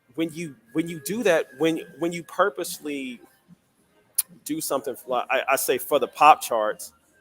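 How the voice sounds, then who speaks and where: Over music in the background, a man with an American accent talks at a moderate pace, with ordinary pitch variation and big swings in loudness. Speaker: writer and public speaker. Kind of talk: interview.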